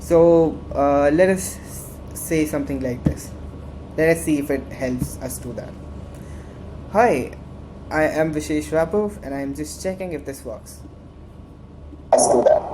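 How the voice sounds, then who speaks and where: A woman speaks at a fairly slow pace, leaving long, frequent pauses. Her loudness swings widely, with audible room echo and noticeable background noise. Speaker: student tech club instructor. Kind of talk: tutorial. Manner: halting; animated.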